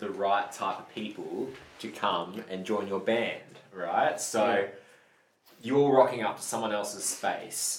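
Audible room echo surrounds a man who speaks at a fairly slow pace with a fairly low pitch. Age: 30s. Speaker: band member. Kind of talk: casual chat.

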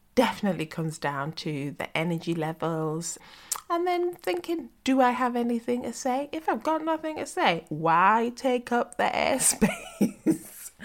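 A woman speaks at a fairly slow pace in a fairly high pitch, her voice making very wide pitch swings. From northern England, West Yorkshire. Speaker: podcast host. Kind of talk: casual interview chat.

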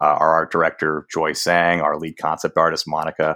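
A man's very deep, low voice in an American accent, monotone and flat in intonation. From Boston, Massachusetts. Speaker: startup founder and CEO. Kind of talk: casual chat.

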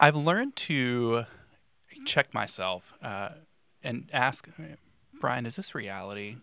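With an American accent, a man talks at a medium pitch and a very slow pace, leaving long, frequent pauses. His tone is bright and sharp, his intonation lively, and the recording is very clean with a silent background. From North Carolina, Raleigh. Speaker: divinity graduate and counseling student. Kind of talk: casual conversation.

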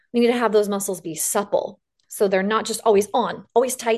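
A woman speaks at a medium pitch with a slight Western US accent. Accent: slight western US drawl. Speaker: fitness business founder. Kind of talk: interview.

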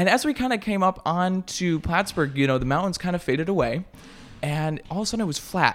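With an American accent, a man speaks at a high pitch and a fairly quick pace, his intonation lively. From upstate New York, Syracuse suburb. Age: 20s. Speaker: news reporter and college student. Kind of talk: casual interview chat.

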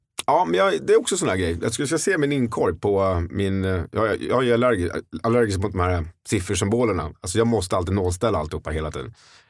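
Talking at a very fast pace, a man with a fairly low pitch uses lively intonation. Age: 40s. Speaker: real estate agent. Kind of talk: casual chat.

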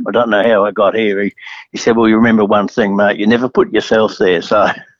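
This man speaks with an Australian accent. His voice is fairly low and monotone, with flat intonation. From Adelaide, South Australia. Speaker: racehorse trainer. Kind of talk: interview. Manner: halting.

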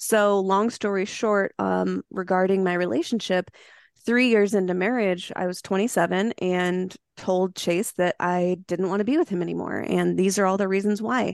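In a normal speaking voice, a woman talks at a medium pitch and a moderate pace, her intonation fairly even, the sound dry and close with no echo over a quiet background. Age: 30s. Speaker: mushroom supplement entrepreneur. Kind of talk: podcast interview.

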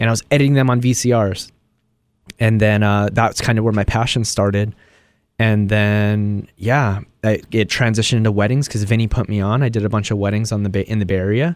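The recording is very clean, with a silent background and very even loudness. A man speaks in an ordinary speaking voice at a fairly low pitch. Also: fairly even intonation, fairly quick pace. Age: 30s. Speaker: cooking content creator. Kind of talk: casual chat.

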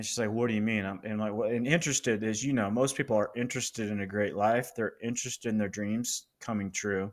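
Speaking in an American accent at a very fast pace with hardly any pauses, a man keeps a medium pitch and fairly even intonation on a very clean recording with a silent background. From Colorado, US. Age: 50s. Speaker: business coach and author. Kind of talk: casual interview.

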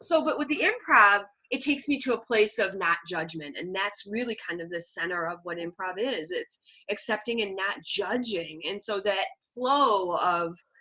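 With an American accent, a woman talks at a fairly slow pace in an unremarkable speaking voice, medium in pitch, with lively intonation. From Michigan, Detroit area. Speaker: comic speaker. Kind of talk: casual interview.

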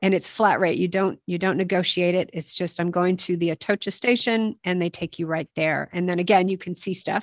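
Heard in a dry, close sound with no echo and a very clean recording with a silent background, a woman with an ordinary speaking voice speaks at a medium pitch and a fairly quick pace, with fairly even intonation and hardly any pauses. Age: 50s. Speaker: podcast host and walking guide. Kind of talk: casual advice chat.

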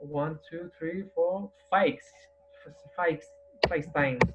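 Noticeable background noise sits behind a man speaking with a strong Spanish accent. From Madrid, Spain. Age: 40s. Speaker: guest, para-athlete with spinal cord injury. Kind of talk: interview. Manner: halting, searching for words.

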